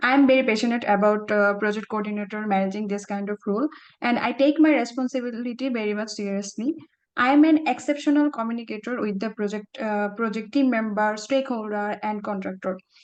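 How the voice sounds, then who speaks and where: A woman speaks at a very fast pace. Her fairly high pitch shows ordinary pitch variation. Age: young. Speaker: job interview candidate. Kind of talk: mock job interview answers. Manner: halting.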